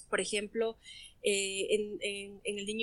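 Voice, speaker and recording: Her voice fairly high in pitch, a woman speaks with a bright, sharp tone. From Ecuador. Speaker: clinical psychologist. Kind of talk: interview.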